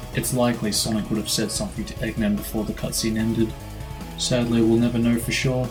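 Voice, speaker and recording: A man talks fairly quickly. Behind him, music is playing. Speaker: gaming video commentator. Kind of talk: video game commentary narration.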